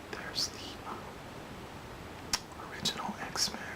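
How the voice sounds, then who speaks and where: A man whispering over noticeable background noise. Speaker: ASMR creator. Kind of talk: casual talk to camera. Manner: whispered, soft-spoken.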